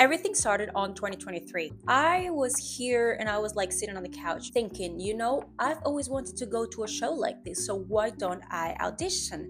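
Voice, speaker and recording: At a moderate pace, a woman speaks with a Spanish accent. She hardly pauses at all. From Cuba. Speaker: singer and vlogger. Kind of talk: casual story time. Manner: chatty.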